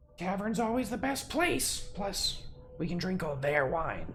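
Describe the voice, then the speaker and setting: A put-on character voice at a middle pitch speaks at a fairly slow pace over clear background noise. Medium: actual play. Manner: casual, offhand.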